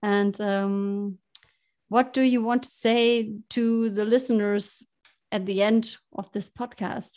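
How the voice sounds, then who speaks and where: Speaking at a very slow pace, a woman has a slight German accent and a fairly high pitch. Her intonation is monotone and flat. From Germany. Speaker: podcast host. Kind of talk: interview. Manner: halting.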